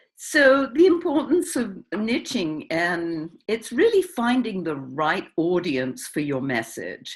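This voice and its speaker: On a very clean recording with a silent background, a woman with an English accent speaks at a very slow pace with hardly any pauses, her fairly high pitch swinging very widely and showing vocal fry. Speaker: publisher and niche marketing coach. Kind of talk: interview.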